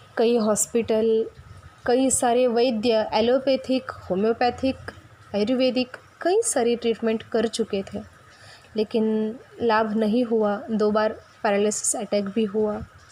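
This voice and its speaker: A woman speaks at a fairly high pitch with fairly even intonation over noticeable background noise. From Maharashtra, India. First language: Marathi (speaking Hindi). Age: 20s. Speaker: spiritual teacher (sadhvi). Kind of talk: spiritual talk.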